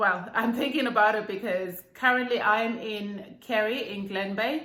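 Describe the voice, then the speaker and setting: The speaker has a Zimbabwean accent and talks at a very slow pace. Room echo is audible. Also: woman. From Zimbabwe, Bulawayo. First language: Ndebele. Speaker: YouTuber. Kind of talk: casual vlog chat.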